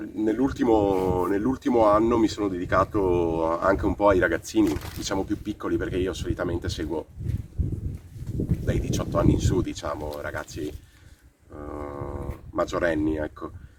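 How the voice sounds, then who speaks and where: Moderately paced speech from a man with a very deep, low pitch, ordinary pitch variation and noticeable background noise. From Croatia, moved to Italy at 13. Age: 30s. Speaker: boxing coach. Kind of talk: interview testimony. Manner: halting, many fillers.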